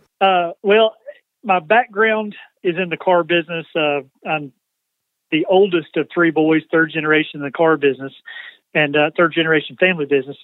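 With a Southern US accent, the speaker goes at a fairly quick pace but leaves long, frequent pauses. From US South, Georgia. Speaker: nonprofit CEO, former car dealership president. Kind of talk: interview.

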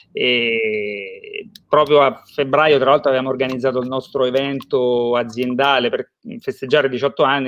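The man's voice sits at a medium pitch with fairly even intonation. The sound is dry and close, with no echo. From Romagna, Italy. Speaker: IT company founder and sales director. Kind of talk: promotional interview. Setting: livestream.

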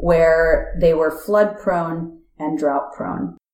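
A woman with an American accent speaks at a very slow pace. Room echo is audible. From United States. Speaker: nonprofit technology executive. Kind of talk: interview conversation.

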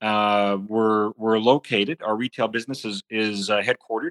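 With a slight Canadian accent, a man speaks at a medium pitch and a moderate pace in a very clean recording with a silent background. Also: dry, close sound with no echo. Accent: slight Canadian, e.g. 'about'. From Saskatchewan, Canada (farm). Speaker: agribusiness executive. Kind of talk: podcast interview.

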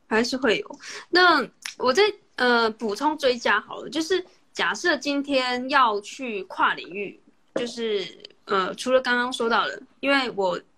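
At a fairly slow pace, a woman projects a raised, high-pitched voice with a bright, sharp tone and lively intonation. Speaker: podcast host interviewing via livestream. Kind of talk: casual interview chat. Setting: Instagram livestream call.

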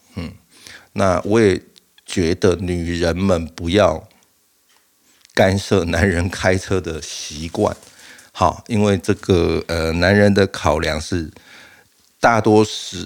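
Speaking at a very slow pace with long, frequent pauses, a man uses a very deep, low pitch and fairly even intonation. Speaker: podcast host. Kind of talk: casual monologue. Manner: halting, frequent fillers and repeats.

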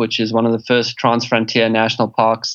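A man speaks with a South African accent. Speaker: game reserve conservationist and author. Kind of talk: interview. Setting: remote call over internet.

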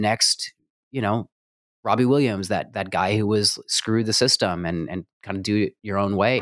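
A man with an American accent has an unremarkable speaking voice, fairly low in pitch, at a moderate pace with fairly even intonation. The recording is very clean with a silent background and a dry, close sound with no echo. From New Mexico, US. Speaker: music producer and stage actor. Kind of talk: interview conversation.

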